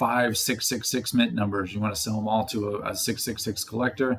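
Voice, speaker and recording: This is a man speaking. His pitch is medium. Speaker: crypto and NFT commentator. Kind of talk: casual speculative commentary video. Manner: fast.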